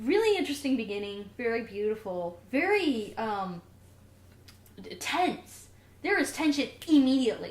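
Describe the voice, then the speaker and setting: In a room with audible echo, a woman speaks at a moderate pace in a high, animated voice with very wide pitch swings and long, frequent pauses. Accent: Southern US. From US South. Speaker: podcast co-host. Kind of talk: casual chat.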